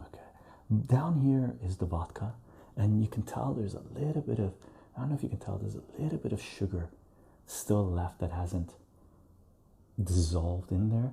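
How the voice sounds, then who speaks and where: Soft-spoken and somewhat breathy, a man talks at a moderate pace with a fairly low pitch and a dark, mellow tone. His pitch swings very widely, and his pauses are long and frequent. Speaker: home liqueur maker. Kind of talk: casual talk to camera, demonstrating homemade liqueur.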